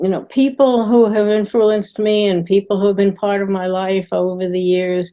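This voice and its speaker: Speech in a New York accent comes at a fairly slow pace with a dark, mellow tone. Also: woman. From New York, Queens. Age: 80s+. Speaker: children's TV writer. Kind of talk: interview.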